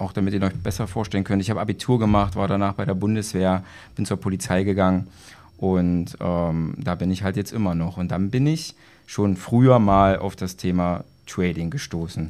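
A man speaks at a moderate pace in a very deep, low voice. His tone is dark and mellow, with ordinary pitch variation. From Saxony-Anhalt, Germany (Magdeburg). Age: 30s. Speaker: police officer and trading student. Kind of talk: interview. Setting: live at a trading event venue.

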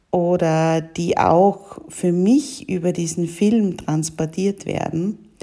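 A woman speaks at a very slow pace in a medium pitch. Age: 40s. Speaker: women's coach and mentor, podcast host. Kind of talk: solo podcast monologue.

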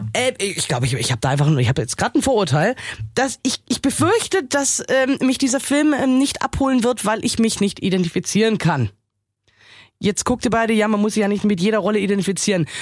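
On a very clean recording with a silent background, a woman talks very fast with vocal fry. Her fairly high voice swings very widely in pitch. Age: 30s. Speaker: film podcast co-host. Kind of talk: casual chat.

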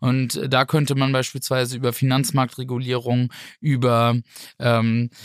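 A man at medium pitch speaks with an unremarkable speaking voice and fairly even intonation. The sound is dry and close with no echo, on a very clean recording with a silent background. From northern Germany, Flensburg (Schleswig-Holstein). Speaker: politician, member of European Parliament. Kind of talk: podcast discussion.

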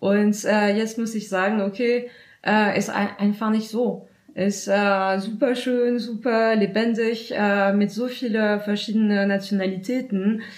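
Against a quiet background, a woman with a French accent speaks very slowly at medium pitch in a monotone, flat intonation. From France. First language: French (speaking German). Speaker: volunteer at a francophone newcomers' association. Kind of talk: interview. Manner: halting, many hesitations.

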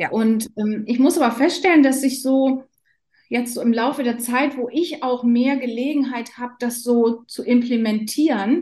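A woman speaks at a fairly slow pace in a high voice with a dark, mellow tone and fairly even intonation. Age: 50s. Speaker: nurse. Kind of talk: casual interview.

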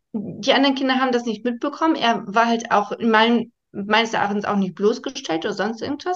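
Talking at a fairly quick clip, a woman uses a plain, everyday voice that sits fairly high in pitch and has lively intonation. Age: 30s. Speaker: primary school teacher. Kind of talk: interview.

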